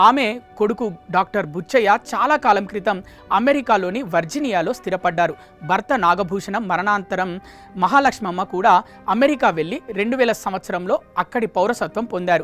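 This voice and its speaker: Over music in the background, a woman speaks at a medium pitch with lively intonation. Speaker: news presenter. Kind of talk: news report narration.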